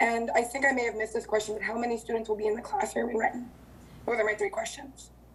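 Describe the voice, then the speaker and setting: Against noticeable background noise, a woman with a fairly high pitch talks at a very fast pace with ordinary pitch variation. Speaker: city council member. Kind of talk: council meeting questions.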